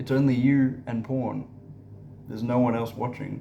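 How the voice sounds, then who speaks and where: A man speaks at a fairly slow pace with a medium pitch. His intonation stays fairly even, and some room echo can be heard. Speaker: spiritual content creator. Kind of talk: casual monologue vlog. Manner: halting, many fillers and repetitions.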